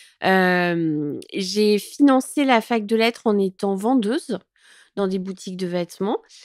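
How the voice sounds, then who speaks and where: A woman speaks at a very slow pace in a medium pitch, with ordinary pitch variation. The sound is dry and close with no echo, on a very clean recording with a silent background. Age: 40s. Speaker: content creator. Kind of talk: interview. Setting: at her home. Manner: hesitant, many fillers.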